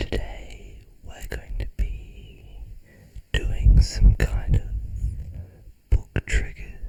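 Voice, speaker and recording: The speech is whispered. It moves at a very slow pace. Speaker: ASMR creator. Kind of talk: ASMR whispered book reading and triggers. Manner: soft, whispered.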